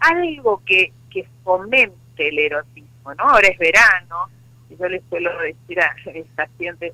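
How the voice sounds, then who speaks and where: A woman with a plain, everyday voice talks at a fairly slow pace, fairly low in pitch, with ordinary pitch variation. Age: 60s. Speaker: psychologist and sex therapist. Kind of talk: interview.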